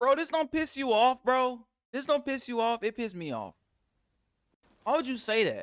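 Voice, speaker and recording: With an American accent, a man speaks at an extremely high pitch in an animated tone, with ordinary pitch variation. His pace is moderate with long, frequent pauses, and the sound is dry and close with no echo. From United States. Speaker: YouTube reactor. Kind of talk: reaction commentary.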